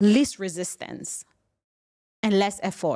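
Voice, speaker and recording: A woman speaks with a non-native accent and an animated tone. Her pace is fairly slow. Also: very clean recording, silent background. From Cameroon. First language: not English. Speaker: podcast host and business coach. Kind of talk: motivational solo podcast.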